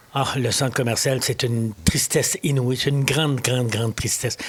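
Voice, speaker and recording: Against noticeable background noise, a man with a Quebec accent talks at a moderate pace with ordinary pitch variation. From Quebec, Lower St. Lawrence (Mont-Joli). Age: 70s. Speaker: municipal election candidate. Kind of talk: interview. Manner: halting, frequent repetitions and hesitations.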